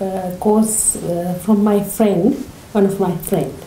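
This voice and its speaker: Amid audible room echo and light background noise, a woman speaks with fairly even intonation. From Sri Lanka. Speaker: class participant, migrant mother. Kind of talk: casual interview. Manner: halting, many fillers. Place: home room. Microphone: camera far.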